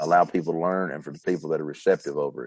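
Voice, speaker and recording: A man speaks in a very deep, low voice with fairly even intonation. The sound is dry and close, with no echo. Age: 40s. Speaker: competition barbecue cook and rub company owner. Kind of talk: casual chat.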